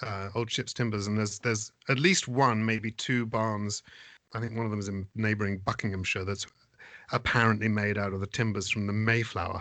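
With an East Anglian accent, a man talks at a fairly quick pace in a fairly low voice with fairly even intonation. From England, East Anglia (Suffolk). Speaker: theatre managing director and actor. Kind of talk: casual chat. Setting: video call.

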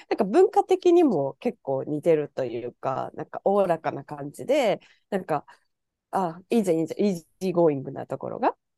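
A woman talks at a fairly quick pace, her loudness swinging widely. The sound is dry and close, with no echo. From Japan. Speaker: podcast guest living abroad. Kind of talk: casual chat.

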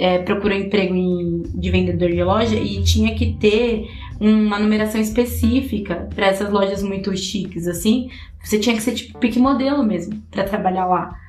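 A woman is heard through noticeable background noise and audible room echo. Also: moderate pace. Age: 30s. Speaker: podcast host. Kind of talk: casual chat.

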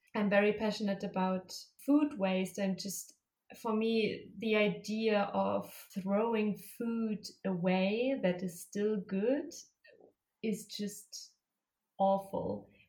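A woman speaks very slowly at a medium pitch, somewhat breathy, with fairly even intonation. Long pauses come often. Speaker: master's student and environmental activist. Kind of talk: interview.

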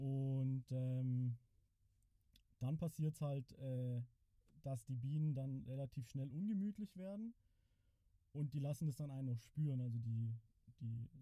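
A man speaks fairly slowly at a medium pitch, with a dark, mellow tone. His pitch varies an ordinary amount, and his pauses are long and frequent. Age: 30s. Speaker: beekeeper and farmer. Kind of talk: casual interview.

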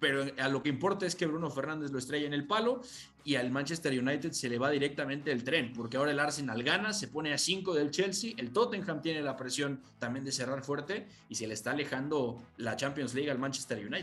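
A man's fairly high-pitched voice at a fairly quick pace, ordinary pitch variation, noticeable background noise. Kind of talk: radio sports panel discussion, match analysis. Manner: relaxed, explanatory, measured.

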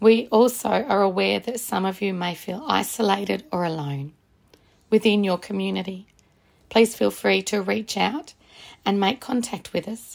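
On a very clean recording with a silent background, a woman speaks at a medium pitch with vocal fry and ordinary pitch variation. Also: moderate pace. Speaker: podcast introducer. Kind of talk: scripted intro and outro.

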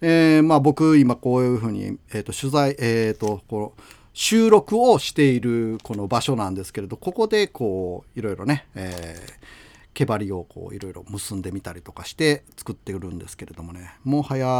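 With lively intonation and big swings in loudness, a man talks at a moderate pace and medium pitch, barely pausing, in a very clean recording with a silent background. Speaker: radio host. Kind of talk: casual radio talk. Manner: halting, many fillers.

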